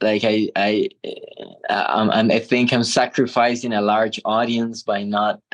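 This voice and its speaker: Delivered with a Spanish accent at a fairly slow pace, the speech is monotone and flat, very even in loudness, with a dry, close sound and no echo. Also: man. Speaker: transpersonal therapist. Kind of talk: casual interview conversation.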